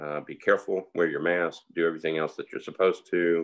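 A man's speech moves at a moderate pace. Behind him, all is quiet. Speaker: host of community talk. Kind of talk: casual host chat and interview question. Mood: warm, encouraging. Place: home room. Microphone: video call.

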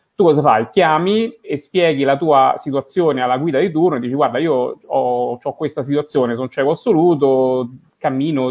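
A man speaks with a Roman accent at a moderate pace. His pitch is fairly high, with ordinary pitch variation. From Rome, Italy; Italy. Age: 40s. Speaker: blind bank employee and hiker; guest. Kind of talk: interview. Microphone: video call.

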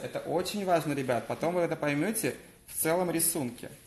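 Talking at a very fast pace with ordinary pitch variation, a man with a high pitch is heard amid audible room echo. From Crimea, Simferopol; Crimea. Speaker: hair colourist. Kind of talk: live-stream hair colouring demonstration. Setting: hair salon. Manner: animated. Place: shop. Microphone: phone near.

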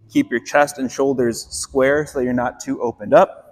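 A man's voice with faint music in the background. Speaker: fitness coach. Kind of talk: tutorial. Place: gym.

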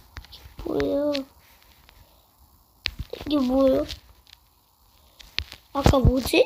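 A woman talks at a very slow pace. Noticeable background noise runs underneath. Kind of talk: casual game commentary.

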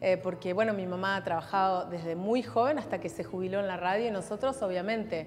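Faint music plays in the background. A woman speaks over it at a fairly quick pace. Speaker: radio announcer. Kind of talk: interview answer. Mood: warm, nostalgic, grateful. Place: hall. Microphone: lapel.

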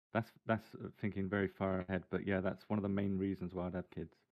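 Over a quiet background, a man speaks with a very deep, low pitch. His intonation is monotone and flat, and his pace is fairly quick. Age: 30s. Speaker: gaming content creator. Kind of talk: casual interview. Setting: live stream. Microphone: video call.

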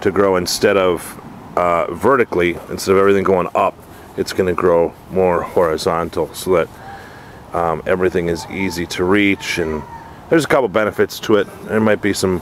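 Moderate pace and fairly even intonation, the sound dry with no echo, with light background noise. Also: man, very deep, low pitch for a man. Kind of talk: casual tutorial. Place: garden. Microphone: phone near.

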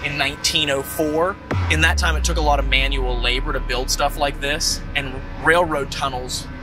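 Moderate-paced speech in a dry sound with no echo, with music in the background. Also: man. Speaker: paranormal show host. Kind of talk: on-location presentation. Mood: animated storytelling. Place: open country. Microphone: lapel.

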